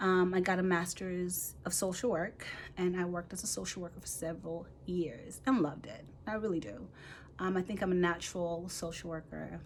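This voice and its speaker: A woman's fairly low voice at a moderate pace, with ordinary pitch variation and audible room echo. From Nigeria (Igbo). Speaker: physician assistant student and mentor. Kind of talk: casual vlog introduction. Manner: rambling, conversational.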